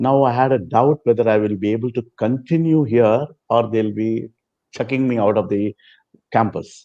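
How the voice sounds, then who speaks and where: A man with a Telugu accent, medium-pitched and dark and mellow in tone, against a quiet background. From South India, Chennai. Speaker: former student and devotee. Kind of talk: interview storytelling.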